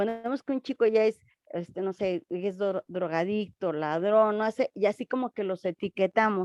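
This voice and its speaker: At a moderate pace, a woman talks with fairly high pitch and fairly even intonation, the sound dry and close with no echo. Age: 60s. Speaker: congregation member. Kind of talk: question in class. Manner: hesitant.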